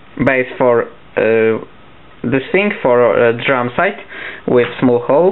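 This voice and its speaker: A man with a Polish accent speaks at a very slow pace with long, frequent pauses. His medium pitch carries lively intonation and very even loudness. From Poland. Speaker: papercraft hobbyist. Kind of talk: tutorial. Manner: halting.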